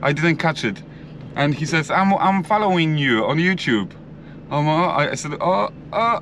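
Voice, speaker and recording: Lively intonation in a Polish accent at a moderate pace, with noticeable background noise. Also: man. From Poland. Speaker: builder. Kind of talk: vlog. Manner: halting.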